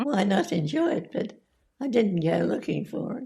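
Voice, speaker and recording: A woman's somewhat breathy voice, dark and mellow in tone, moves at a fairly slow pace with very wide pitch swings. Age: 80s+. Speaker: centenarian interview guest. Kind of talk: interview answer.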